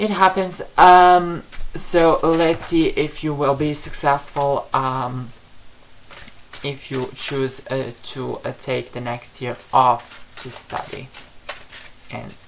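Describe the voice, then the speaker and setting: Very slow, heavily paused speech from a man with a non-native accent, over noticeable background noise. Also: fairly high pitch for a man, ordinary pitch variation, big swings in loudness. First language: not English. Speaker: psychic tarot reader. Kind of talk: livestream reading answering viewer questions. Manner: halting, many fillers.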